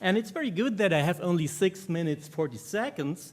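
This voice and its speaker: Someone speaks with a German accent. The pace is fairly quick. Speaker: conference speaker.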